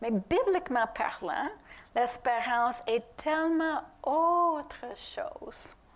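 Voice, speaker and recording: A woman with a non-native accent speaks at a very slow pace. Her intonation is lively. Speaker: preacher. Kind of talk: sermon. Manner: halting at times.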